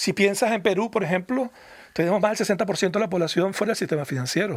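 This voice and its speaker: With a Venezuelan accent, a man speaks very fast at a high pitch, his loudness very even and his pitch variation ordinary. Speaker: foundation research director. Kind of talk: radio interview. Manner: halting, repeats words.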